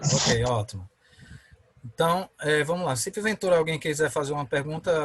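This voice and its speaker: Here a man talks at a fairly high pitch. His voice is somewhat breathy. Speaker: law professor. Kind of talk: online lecture. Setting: video call.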